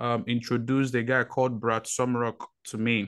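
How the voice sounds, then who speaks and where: The man's intonation is monotone and flat. He speaks at a fairly slow pace. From Nigeria. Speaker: podcast host, military veteran. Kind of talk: casual chat. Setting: video call. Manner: hesitant with many fillers.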